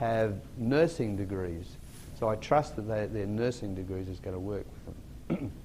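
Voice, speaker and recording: There is audible room echo as a man with an Australian accent speaks at a fairly low pitch in a dark, mellow tone. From Australia, Sydney. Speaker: motivational speaker. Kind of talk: keynote talk to an audience.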